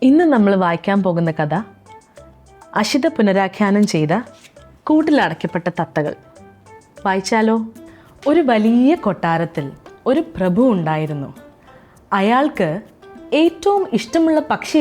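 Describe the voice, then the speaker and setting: Over music in the background, a woman with a fairly high pitch makes very wide pitch swings while keeping her loudness very even. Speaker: actor. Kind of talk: children's story reading.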